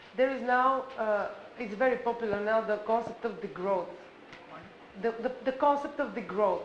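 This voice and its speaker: Fairly high-pitched woman's voice amid audible room echo and noticeable background noise. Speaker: conference participant. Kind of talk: panel discussion. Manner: loud; halting.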